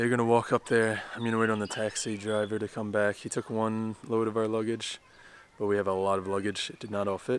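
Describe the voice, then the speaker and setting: A man's fairly low voice at a fairly quick pace, monotone and flat, with a dry sound with no echo over light background noise. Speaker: travel vlogger. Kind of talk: casual vlog chat. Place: street. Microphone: phone near.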